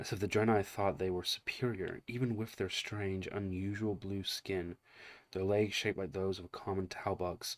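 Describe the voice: The text gets plain reading aloud, with intonation held fairly even.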